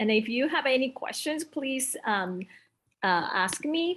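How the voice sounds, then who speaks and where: Speaking fairly slowly with a Japanese accent, a woman's voice moves through very wide pitch swings. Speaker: elementary school teacher. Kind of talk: workshop presentation. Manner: halting, many fillers.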